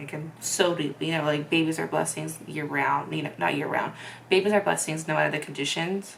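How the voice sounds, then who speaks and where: A woman with a very deep, low pitch speaks with fairly even intonation against noticeable background noise. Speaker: vlogger. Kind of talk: personal testimony. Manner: monotone; hesitant, many fillers.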